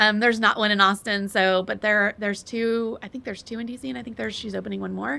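Talking at a very fast pace with hardly any pauses, a woman with an American accent shows big swings in loudness and ordinary pitch variation. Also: medium pitch for a woman. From Texas. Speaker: hotel interior designer. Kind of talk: casual interview. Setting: in person at company headquarters.

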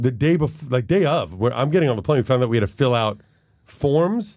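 A man speaks in a plain, everyday voice. His pace is moderate and his intonation lively. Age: 50s. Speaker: podcast host. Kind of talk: casual chat. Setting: studio.

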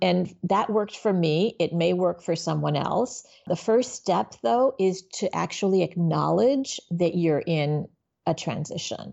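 A woman speaks at a fairly slow pace with vocal fry and a fairly low pitch. Her loudness stays very even while her intonation is lively. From Miami, Florida (born in Haiti). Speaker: business nonprofit executive and coach. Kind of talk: interview conversation.

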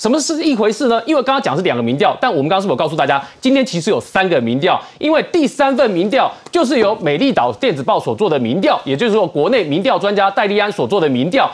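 At a very fast pace with hardly any pauses, a high-pitched man talks in very even loudness while his pitch swings very widely. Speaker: financial expert. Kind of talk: political talk show panel.

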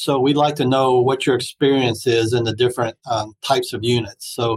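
A man's somewhat breathy voice at medium pitch and moderate pace, fairly even in intonation, with a dry, close sound and no echo. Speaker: hospital talent executive. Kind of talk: panel discussion.

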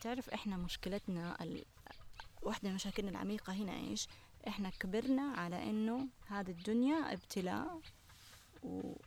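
A somewhat breathy voice with lively intonation. The pace is moderate. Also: woman, medium pitch for a woman. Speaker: natural products entrepreneur and cookbook author. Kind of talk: casual chat. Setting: outdoors on a farm.

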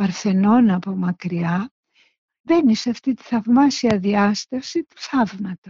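A woman with a fairly high, somewhat breathy voice speaks at a fairly slow pace with ordinary pitch variation. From Greece, Salamina. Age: 70s. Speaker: visual artist. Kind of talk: interview recollection.

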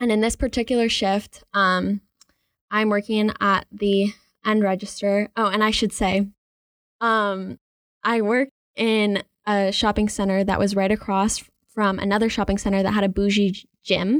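A woman with an American accent speaks at a moderate pace in a medium pitch, her intonation monotone and flat, her loudness very even, with long, frequent pauses. The sound is dry and close with no echo, on a very clean recording with a silent background. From Charlotte, North Carolina. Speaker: college radio DJ and blogger. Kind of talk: casual storytelling chat. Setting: studio. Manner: hesitant, many fillers.

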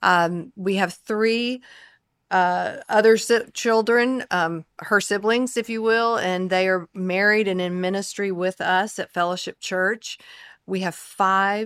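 Woman's medium-pitched voice with a Southern US accent at a fairly slow pace, on a very clean recording with a silent background. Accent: Southern American. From US South, the Carolinas. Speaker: pastor's wife and speaker. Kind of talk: casual chat.

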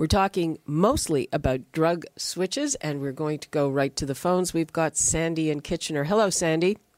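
A woman speaks at a moderate pace and low pitch, with lively intonation. Her tone is slightly mellow.

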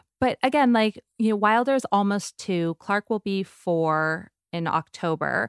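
A woman's medium-pitched voice in an American accent, fairly slow with hardly any pauses, lively intonation and a dry, close sound with no echo. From US West Coast, San Diego. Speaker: media entrepreneur. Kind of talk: casual interview.

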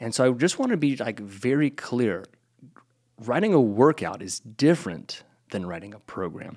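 A man talks at a moderate pace in an unremarkable speaking voice. His medium-pitched delivery has lively intonation. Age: 40s. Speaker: podcast host and personal trainer. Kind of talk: casual chat.

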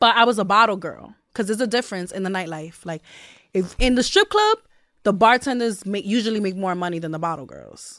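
A woman with a New York accent talks very fast in a fairly high pitch with ordinary pitch variation. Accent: New York City, Brooklyn. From Brownsville, Brooklyn, New York. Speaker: rapper. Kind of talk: casual interview.

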